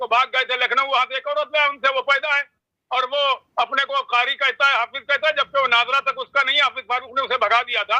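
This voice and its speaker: A man talks in an extremely high pitch with a bright, sharp tone and a raised, projected voice. His intonation is monotone and flat at a moderate pace, with a dry, close sound and no echo. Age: 70s. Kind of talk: interview.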